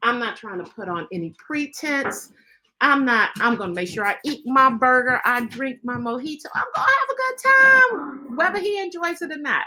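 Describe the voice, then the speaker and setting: A woman's bright, sharp voice at a moderate pace, with very wide pitch swings. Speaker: grief podcast host. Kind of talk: personal storytelling. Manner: casual, conversational.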